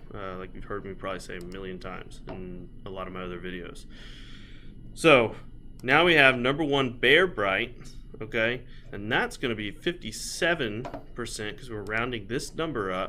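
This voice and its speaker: A bright, sharp tone with lively intonation at a moderate pace, plus audible room echo. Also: man, fairly low pitch for a man. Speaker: scrap recycler. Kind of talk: tutorial. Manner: halting.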